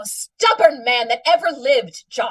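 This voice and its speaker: A woman uses a put-on character voice, high in pitch, delivered at a moderate pace. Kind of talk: 1940s radio comedy acting. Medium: old radio play. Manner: nagging, insistent.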